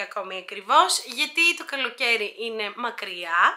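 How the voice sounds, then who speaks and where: A woman talks in a raised, projected voice. She goes at a fairly slow pace. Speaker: YouTuber. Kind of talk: Q&A vlog. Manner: hesitant, many filler sounds.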